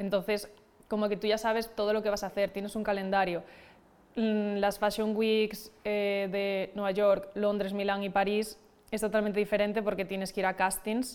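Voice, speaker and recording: The woman's intonation is flat and monotone. She talks at an average speed in a mid-range pitch. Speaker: fashion model. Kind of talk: casual chat.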